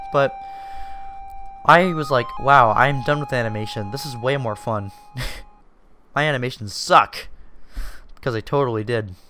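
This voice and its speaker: Over noticeable background noise, a man speaks at a moderate pace and medium pitch with ordinary pitch variation and long, frequent pauses. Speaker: YouTuber and indie game developer. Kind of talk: personal storytelling monologue. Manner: casual, filler-heavy with false starts.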